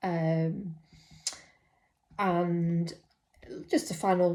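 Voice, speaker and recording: Somewhat breathy woman's voice, fairly low in pitch, with a dark, mellow tone and monotone, flat intonation. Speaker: mental health nurse. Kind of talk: personal vlog monologue. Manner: hesitant, many fillers.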